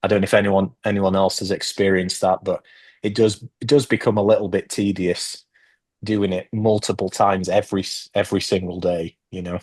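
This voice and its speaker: A man's fairly low, monotone voice with flat intonation and a British accent, at a fairly quick pace over a quiet background. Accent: British accent, noticed by locals daily. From Northeast England. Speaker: immigrant panel speaker. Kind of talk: group discussion. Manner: halting, many fillers.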